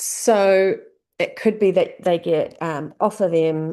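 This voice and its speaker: A woman in a New Zealand accent, very slow, with a dark, mellow tone against a quiet background. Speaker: business coach. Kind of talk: tutorial. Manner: casual, conversational.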